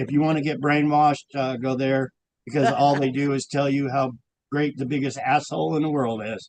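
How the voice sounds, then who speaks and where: Here a man speaks at a fairly high pitch. His pace is fairly quick. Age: 60s. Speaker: guest sharing personal story. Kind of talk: casual chat. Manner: rambling, animated.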